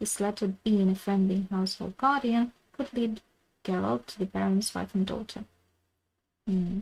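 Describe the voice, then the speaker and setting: A quiet, somewhat breathy woman's voice at a medium pitch, with ordinary pitch variation and a moderate pace, in a very clean recording with a silent background. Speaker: game streamer. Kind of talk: live gaming stream. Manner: halting.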